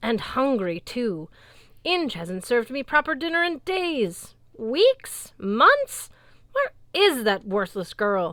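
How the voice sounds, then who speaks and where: In a put-on character voice, a woman growls at a high pitch with very wide pitch swings and a fairly slow pace, on a very clean recording with a silent background. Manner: growling.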